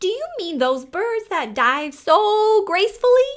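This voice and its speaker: In a loud, squeaky put-on character voice, a woman speaks at an extremely high pitch and a fairly slow pace, her pitch swinging very widely. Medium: read story. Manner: loud, blaring.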